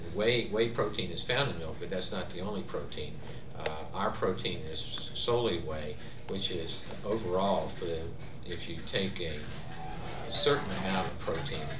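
At a moderate pace, a man speaks in a very deep, low pitch. Noticeable background noise runs underneath. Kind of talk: interview answer. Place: office.

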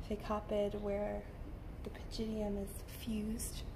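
A woman with a monotone, flat intonation at a fairly slow pace, with noticeable background noise. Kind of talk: soft-spoken ASMR lecture.

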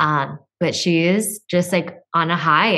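In front of a quiet background, a woman with a fairly low pitch speaks with ordinary pitch variation. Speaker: podcast co-host. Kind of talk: casual chat. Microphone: studio mic.

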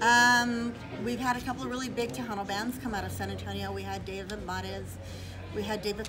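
Clear background music under a female speaker at a moderate pace. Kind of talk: interview answer. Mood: proud, cheerful. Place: bar. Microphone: phone near.

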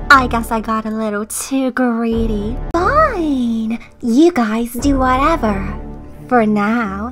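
A female-sounding put-on character voice, fairly high in pitch, speaks at a very slow pace over clear music in the background. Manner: teasing, flippant.

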